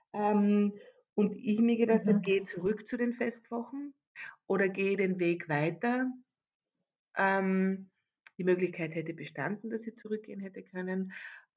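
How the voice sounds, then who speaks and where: Pausing long and often, a woman talks at a fairly slow pace with a medium pitch and ordinary pitch variation. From Austria, Carinthia. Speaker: event manager. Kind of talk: interview. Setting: video call. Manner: halting.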